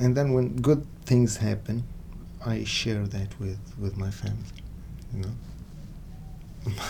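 Very slow speech with audible room echo and noticeable background noise. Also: man. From Syria. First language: Arabic. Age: 30s. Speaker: music student. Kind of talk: interview.

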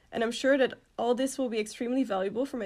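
Speaking at a very fast pace, a woman with a fairly high pitch keeps a monotone, flat intonation on a very clean recording with a silent background. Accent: Dutch. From Netherlands. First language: Dutch. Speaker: student organization president. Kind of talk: interview.

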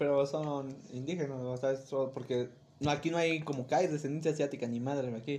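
Speaking at a fairly quick pace, a man keeps his fairly high voice monotone. His intonation stays flat throughout. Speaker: podcast co-host. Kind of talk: casual chat.

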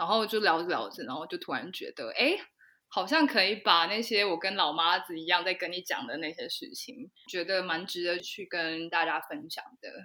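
On a very clean recording with a silent background, a woman of medium pitch speaks at a moderate pace in a bright, sharp tone, with big swings in loudness. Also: lively intonation. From Taiwan. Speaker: podcast co-host. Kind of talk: casual chat.

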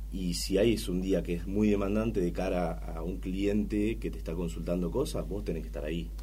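A man with a very deep, low pitch, a dark, mellow tone and vocal fry, speaking at a fairly quick pace. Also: ordinary pitch variation, hardly any pauses. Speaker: head of trading. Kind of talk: casual interview.

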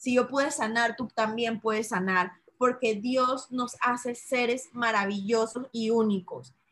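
Her voice is fairly high and her intonation stays fairly even. The woman talks rather slowly. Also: hardly any pauses. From Panama, Chitré (interior). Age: 30s. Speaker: entrepreneur selling essential oils. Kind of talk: interview.

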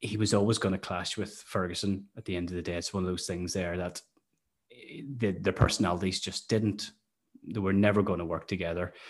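Very deep, low male voice in a Northern Irish accent, monotone with flat intonation, at a fairly quick pace against a quiet background. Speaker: podcast host, football fan. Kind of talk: casual chat about football.

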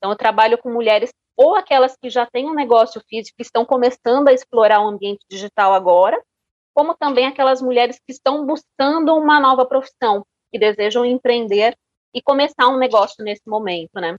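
A woman with a high pitch speaks at a fairly quick pace with ordinary pitch variation and big swings in loudness. The sound is dry and close, with no echo. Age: 40s. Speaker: marketing consultant. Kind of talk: interview.

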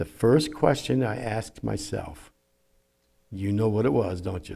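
A man's fairly low, somewhat breathy voice with a dark, mellow tone at a moderate pace. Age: 70s. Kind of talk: sermon. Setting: church.

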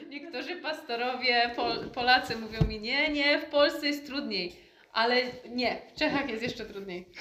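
A woman with a high pitch speaks at a moderate pace, her loudness swinging widely over noticeable background noise. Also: ordinary pitch variation. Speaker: interpreter. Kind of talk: interpreting.

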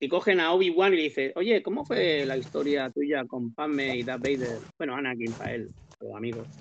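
With an unremarkable speaking voice, a man talks at a moderate pace, his fairly high pitch carried by lively intonation. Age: 50s. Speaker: comics podcast panelist. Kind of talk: casual chat.

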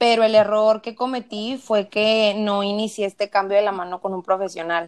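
This woman speaks with a Mexican accent. Her pitch is fairly high and her intonation fairly even. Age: 20s. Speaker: nutrition student. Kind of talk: interview.

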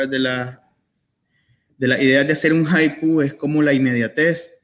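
A man at a moderate pace. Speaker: poet. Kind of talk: book presentation interview. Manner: halting.

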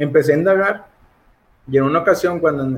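The man's voice has some breathiness. He keeps his intonation fairly even. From Mexico, Monterrey, Nuevo León. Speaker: lay theology enthusiast, Reformed Baptist. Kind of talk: casual theological conversation. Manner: halting, repeats words.

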